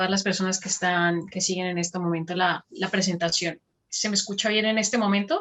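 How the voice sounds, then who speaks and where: A woman talking at a fairly quick pace, medium in pitch, with monotone, flat intonation. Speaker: academic researcher, presenter. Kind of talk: conference presentation.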